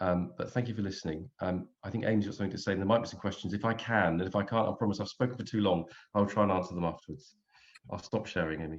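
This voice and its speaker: Fairly low in pitch with ordinary variation, a man speaks at a very fast pace. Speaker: employment solicitor. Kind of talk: webinar presentation.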